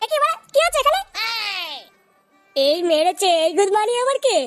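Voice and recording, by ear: In a cartoonish character voice with a fairly bright tone, the speaker moves at a moderate pace with big pitch swings while faint music plays in the background.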